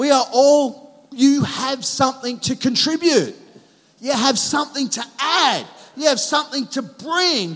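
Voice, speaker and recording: Speaking at a fairly slow pace with an Australian accent, a man uses an extremely high pitch and ordinary pitch variation. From Australia, Sydney northern beaches. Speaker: pastor. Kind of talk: sermon. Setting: church.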